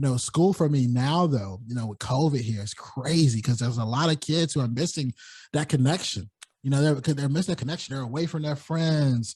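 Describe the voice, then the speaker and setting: Fairly quick and somewhat breathy, a man talks in an American accent at a fairly high pitch. His pitch varies in an ordinary way against a quiet background. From US South, North Carolina. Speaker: podcaster. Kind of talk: interview conversation.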